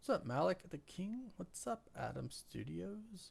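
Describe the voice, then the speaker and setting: A man with a somewhat breathy voice talks at a fairly slow pace, his pitch swinging very widely. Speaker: YouTube live streamer. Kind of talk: live stream chat. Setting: live stream. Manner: animated.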